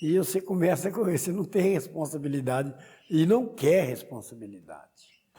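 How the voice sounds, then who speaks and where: Lively intonation colors speech delivered at a moderate pace. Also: man, high pitch for a man. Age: 60s. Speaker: Umbanda priest. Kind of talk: interview testimony.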